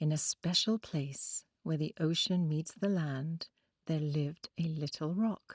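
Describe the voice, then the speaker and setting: A woman with an Oxford accent speaks at a very slow pace in a gentle, soothing tone, her fairly low pitch showing ordinary variation. The recording is very clean with a silent background and a dry, close sound with no echo. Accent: British, Oxford. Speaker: storyteller. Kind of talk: children's bedtime story. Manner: gentle, calming, soothing; clear pronunciation.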